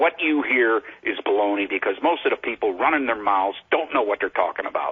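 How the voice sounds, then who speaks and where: A man's voice at very even loudness amid noticeable background noise. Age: 70s. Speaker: caller, military veteran. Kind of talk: call-in talk radio. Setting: phone call.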